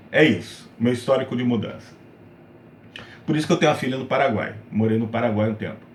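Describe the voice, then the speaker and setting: Amid audible room echo, a man with a medium, somewhat breathy voice talks very fast between long, frequent pauses, his pitch varying in an ordinary way. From Brazil, Rio de Janeiro and São Paulo. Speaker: gaming YouTuber. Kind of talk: casual personal talk to camera.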